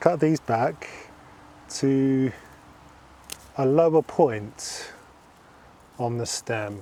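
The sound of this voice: The tone is dark and mellow, with ordinary pitch variation. The pace is very slow. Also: man, medium pitch for a man.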